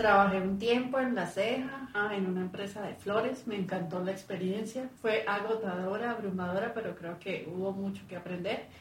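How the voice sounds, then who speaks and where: Over noticeable background noise and with audible room echo, a woman of medium pitch speaks with fairly even intonation at a moderate pace and hardly any pauses. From Colombia, Cúcuta (paisa family). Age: middle-aged. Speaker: life-purpose coach. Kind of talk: interview.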